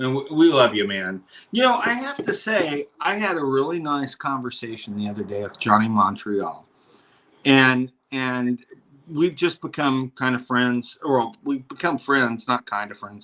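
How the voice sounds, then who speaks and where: A man with a normal speaking voice, medium in pitch, lively in intonation, at a fairly slow pace. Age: 60s. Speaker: podcast host. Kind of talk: casual chat.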